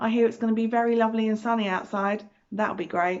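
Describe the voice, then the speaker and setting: With a British accent, a woman speaks in a fairly high voice. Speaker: preschool teacher reading stories. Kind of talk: children's storytime reading. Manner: loud; animated.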